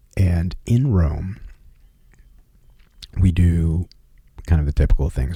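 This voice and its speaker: Soft-spoken and relaxed in tone, a man talks in a very deep, low pitch at a fairly slow pace with ordinary pitch variation. Background noise is noticeable. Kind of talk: ASMR personal travel story. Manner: soft-spoken, relaxed.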